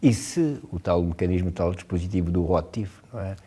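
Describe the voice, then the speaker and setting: At a moderate pace, a man with a very deep, low pitch and a dark, mellow tone speaks on a very clean recording with a silent background. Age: 70s. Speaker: writer. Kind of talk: interview. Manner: hesitant, many filler sounds.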